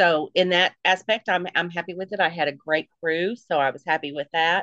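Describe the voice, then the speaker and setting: With a bright, sharp tone, a woman talks at a fairly low pitch with fairly even intonation. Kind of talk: quick comic shout-out in a horror podcast intro.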